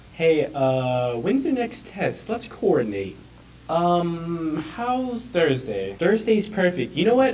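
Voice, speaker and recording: A man's fairly high voice with very wide pitch swings, set against noticeable background noise. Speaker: news anchor. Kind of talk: news reading. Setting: studio. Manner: formal, polished anchor delivery.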